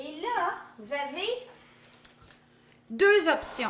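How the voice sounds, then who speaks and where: This woman's pitch swings very widely as she talks very slowly over noticeable background noise. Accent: Quebec. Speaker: cooking youtuber. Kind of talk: cooking tutorial. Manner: casual, chatty.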